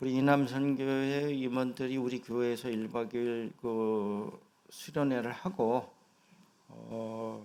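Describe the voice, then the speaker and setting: A man's dark, mellow, medium-pitched voice at a very slow pace, with fairly even intonation and audible room echo. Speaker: senior pastor. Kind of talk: sermon. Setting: church.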